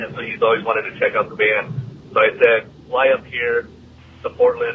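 Over light background noise, a man with an American accent speaks at a moderate pace. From US Pacific Northwest. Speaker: listener leaving voicemail; podcast host reading listener message. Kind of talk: voicemail message. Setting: phone call. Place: studio.

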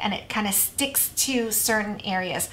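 Her pitch moving in an ordinary way, a woman speaks. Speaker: craft tutorial host. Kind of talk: tutorial. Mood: warm, enthusiastic.

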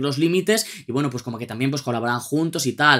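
A man talks fairly quickly, his pitch moving in an ordinary way, with quiet behind him. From Spain. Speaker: music youtuber. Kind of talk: album review monologue. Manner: animated. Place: home room.

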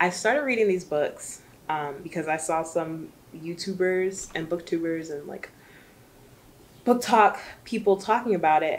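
Light background noise sits behind a woman with a fairly low voice. She speaks at a moderate pace with ordinary pitch variation and long, frequent pauses. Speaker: book vlogger. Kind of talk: casual vlog chat. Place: home room.

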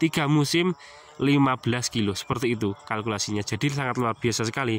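There is light background noise and a dry sound with no echo as a man speaks at a moderate pace with ordinary pitch variation. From Central Java, Indonesia (Wonogiri); Central Java, Indonesia. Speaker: farming YouTuber. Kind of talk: tutorial. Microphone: phone near.

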